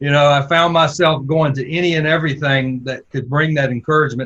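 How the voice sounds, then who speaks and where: A man with a Southern US accent talks at a fairly quick pace, using fairly even intonation at a fairly high pitch. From US South. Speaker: podcast host, former church planter. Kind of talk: interview.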